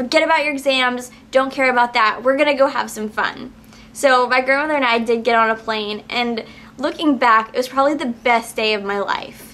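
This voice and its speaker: Using fairly even intonation, a woman with a high pitch speaks at a moderate pace. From New Orleans, Louisiana. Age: 20s. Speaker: vlogger, acting and modeling coach; vlogger, modeling coach. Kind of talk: personal vlog testimony. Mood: heartfelt, reflective. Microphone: phone near.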